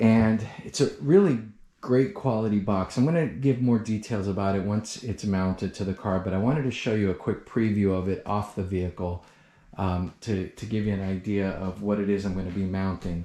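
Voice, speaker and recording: A soft-spoken man's dark, mellow voice, fairly low in pitch, at a moderate pace with ordinary pitch variation. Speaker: car enthusiast youtuber. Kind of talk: product overview and installation tutorial. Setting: indoors in a guest bedroom. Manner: soft-spoken, talking quietly; hesitant, many fillers and repeats.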